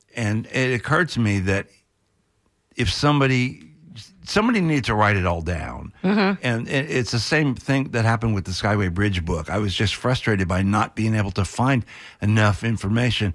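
A man with a normal speaking voice talks at a moderate pace with lively intonation and very even loudness. The recording is very clean with a silent background. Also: fairly low pitch for a man. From Florida, St. Petersburg. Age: 60s. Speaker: journalist and author. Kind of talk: radio interview.

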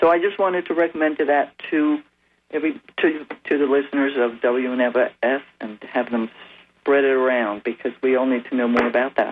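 Using ordinary pitch variation at a moderate pace, a man has an unremarkable speaking voice set at a fairly high pitch. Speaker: caller. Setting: phone call.

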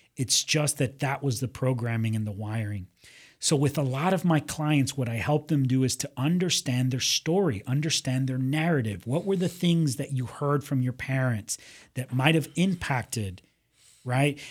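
In a very clean recording with a silent background, a man speaks at a moderate pace. His medium-pitched voice is somewhat breathy, with ordinary pitch variation. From US, Miami (Cuban-born, left at two). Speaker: psychologist and motivational speaker. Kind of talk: interview conversation. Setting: radio studio.

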